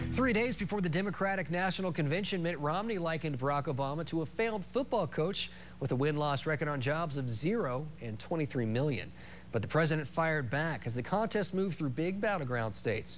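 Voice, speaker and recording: A man speaks at a fairly quick pace with a fairly high pitch and lively intonation. His is a plain, everyday voice. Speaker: TV news anchor and reporter. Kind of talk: TV news anchor read.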